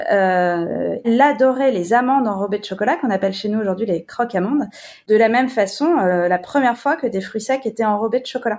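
A woman's normal speaking voice at a fairly high pitch and fairly quick pace, with ordinary pitch variation, on a very clean recording with a silent background. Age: 40s. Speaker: chocolate company CEO. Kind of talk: casual interview.

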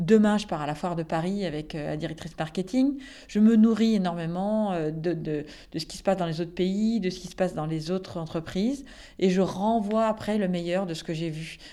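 A woman at medium pitch speaks at a moderate pace in a dark, mellow tone with ordinary pitch variation. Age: 40s. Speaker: company director. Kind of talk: interview. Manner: hesitant fillers.

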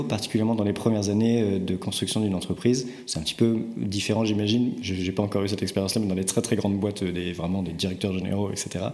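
A man's fairly low voice at a fairly quick pace, with fairly even intonation, audible room echo and noticeable background noise. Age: 30s. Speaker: startup co-founder and CEO. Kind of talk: interview conversation. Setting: company office. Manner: hesitant, with frequent word repetitions.

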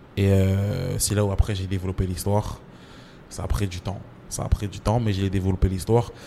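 A man talks at a moderate pace in a fairly low pitch with monotone, flat intonation. His loudness swings widely. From France, Champigny (Paris suburbs), Comorian roots. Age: 30s. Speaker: writer and screenwriter. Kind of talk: interview. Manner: casual, full of fillers.

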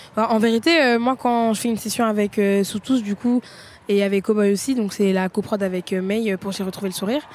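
Speaking at a fairly quick pace, a woman has a normal speaking voice, a fairly high pitch and ordinary pitch variation. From Seine-Saint-Denis, Paris suburbs. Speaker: rapper. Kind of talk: post-concert interview.

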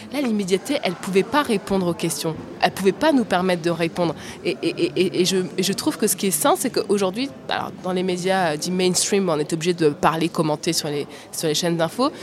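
A woman talks fairly quickly at a medium pitch, her intonation lively, while noticeable background noise plays behind her. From France, working-class suburbs. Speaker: TV journalist. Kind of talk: panel discussion. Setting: live recording at a journalism festival. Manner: halting, repeats words.

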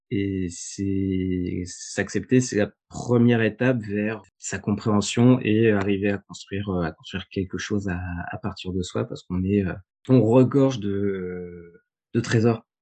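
Against a quiet background, a man with a fairly low, dark, mellow voice speaks at a very slow pace with fairly even intonation. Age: 30s. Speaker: project assistant at an architecture firm. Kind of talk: interview testimony. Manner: halting, many hesitations.

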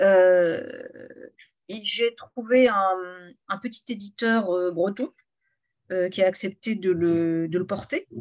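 Very slow and broken by long, frequent pauses, a woman's medium-pitched voice shows ordinary pitch variation. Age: 50s. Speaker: novelist. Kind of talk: author interview.

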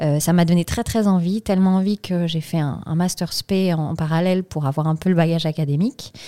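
In a very clean recording with a silent background and a dry, close sound with no echo, a woman with a fairly low pitch and a dark, mellow tone speaks at a fairly quick pace with hardly any pauses and fairly even intonation. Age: 30s. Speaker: CSR consultant, company co-founder. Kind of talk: interview.

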